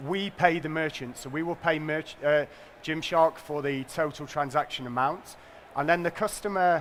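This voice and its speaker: A man with a northern English accent talks at a moderate pace. His fairly high voice keeps a fairly even intonation. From northern England. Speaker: payments company executive. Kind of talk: conference presentation.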